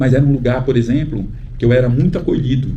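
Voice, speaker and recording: Noticeable background noise and audible room echo surround a man speaking at a moderate pace. His pitch is medium. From Brazil, Pernambuco (Northeast). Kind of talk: talk at book event, personal testimony. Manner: hesitant, many fillers.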